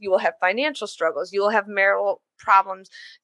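Animated and bright, sharp in tone, a woman with an American accent speaks at a medium pitch in dry, close sound with no echo. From Illinois. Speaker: podcast host. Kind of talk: personal monologue.

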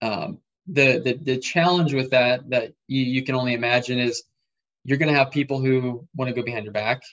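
A man with an American accent and an unremarkable speaking voice, with ordinary pitch variation. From Nebraska, US Midwest. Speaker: real estate investor. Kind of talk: interview.

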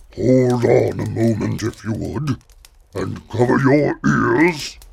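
A man uses a put-on character voice with a rumbling sound. He keeps a medium pitch and a fairly slow pace.

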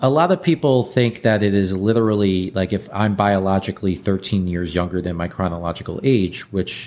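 A normal speaking voice, from a man pitched fairly low. His pitch varies ordinarily and his pace is moderate. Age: 30s. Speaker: longevity company founder. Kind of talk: interview.

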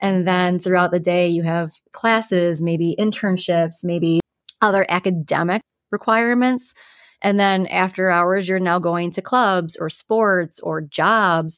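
A woman speaks with an ordinary speaking voice at medium pitch, fairly slow and with fairly even intonation. The recording is very clean, with a silent background. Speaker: mental health counselor, podcast co-host. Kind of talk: casual educational discussion.

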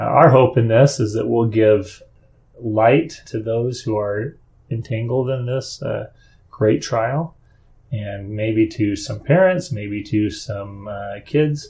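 Very slowly, a man speaks at a medium pitch with a dark, mellow tone, a somewhat breathy quality and ordinary pitch variation. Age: 50s. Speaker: podcast host, father of seven. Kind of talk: casual interview chat.

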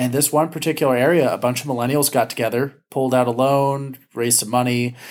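A man's plain, everyday voice at medium pitch with fairly even intonation, on a very clean recording with a silent background. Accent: American. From Southern California, Ventura County. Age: 30s. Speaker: education policy advocate and trainer. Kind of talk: interview conversation.

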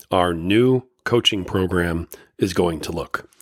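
A low-pitched male voice on a very clean recording with a silent background.

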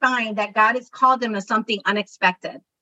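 A woman's raised, projected voice with ordinary pitch variation, in a dry, close sound with no echo. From Chicago, Puerto Rican family. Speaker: podcast host, career coach. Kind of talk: interview chat. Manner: warm, enthusiastic.

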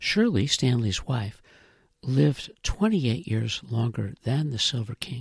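Somewhat breathy and lively in intonation, a man talks fairly slowly at a medium pitch. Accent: American. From Illinois (Chicago area, Rockford). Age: 70s. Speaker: podcast writer and producer. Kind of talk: scripted narration.

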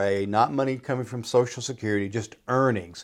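An ordinary speaking voice from a man at medium pitch, fairly quick, in a very clean recording with a silent background. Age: 60s. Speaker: financial advisor. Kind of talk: casual chat.

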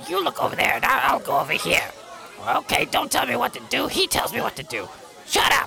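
Someone delivers a put-on character voice at a fairly quick pace over clear background noise. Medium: actual play.

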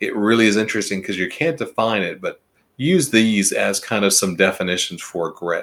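Recorded very cleanly against a silent background, a man with a fairly low pitch and an unremarkable speaking voice talks at a moderate pace with lively intonation. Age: 50s. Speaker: HR consultant podcast host. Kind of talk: solo podcast monologue. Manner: conversational, some self-corrections.

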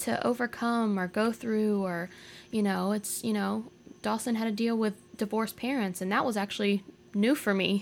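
A woman's ordinary speaking voice with an American accent and ordinary pitch variation. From Jacksonville, Florida. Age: 20s. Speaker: podcast guest. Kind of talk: casual chat.

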